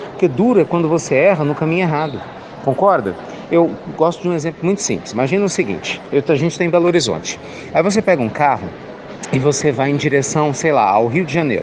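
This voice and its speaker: Amid noticeable background noise, a man with a fairly high pitch talks at a very fast pace with lively intonation. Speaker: spiritist speaker. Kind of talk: spiritual reflection talk. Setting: bookstore. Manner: soft-spoken; warm.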